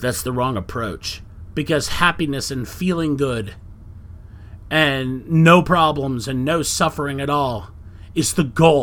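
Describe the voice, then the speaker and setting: An unremarkable speaking voice comes from a man with a fairly high pitch, talking at a fairly slow pace with ordinary pitch variation. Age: 40s. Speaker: podcast host. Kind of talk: solo monologue podcast. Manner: casual, conversational with filler words.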